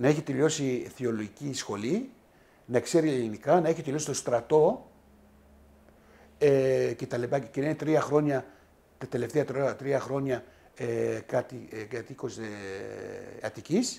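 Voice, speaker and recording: Using long, frequent pauses, a man speaks at a fairly slow pace in a dark, mellow tone, with a medium pitch and ordinary pitch variation. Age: 60s. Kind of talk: interview. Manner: halting.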